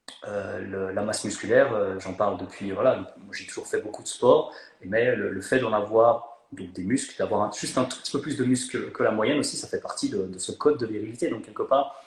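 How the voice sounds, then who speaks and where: Noticeable background noise runs under the recording. A man talks at a fairly quick pace. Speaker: fitness coach and content creator. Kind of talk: casual chat. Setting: Instagram live video call. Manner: animated; hesitant, many fillers.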